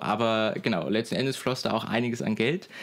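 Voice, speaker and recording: The pace is moderate on a very clean recording with a silent background. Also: man. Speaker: podcast co-host, media student. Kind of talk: casual chat. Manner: hesitant with frequent fillers.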